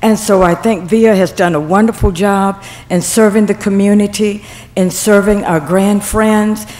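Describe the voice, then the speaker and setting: Moderate pace, fairly even intonation and very even loudness, with noticeable background noise. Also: woman, medium pitch for a woman. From Mobile, Alabama. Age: 70s. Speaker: senior center member. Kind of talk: public comment at council meeting. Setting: city council meeting.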